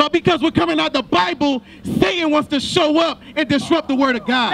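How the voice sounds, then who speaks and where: Lively intonation from a man at a fairly quick pace, over light background noise. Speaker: street preacher. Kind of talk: confrontational preaching. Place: open country. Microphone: handheld.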